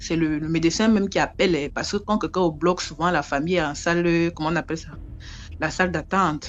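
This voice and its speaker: A woman's fairly low-pitched voice moves along at a fairly quick clip. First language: an African local language (speaking French). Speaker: storyteller. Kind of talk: oral storytelling. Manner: conversational, repetitive.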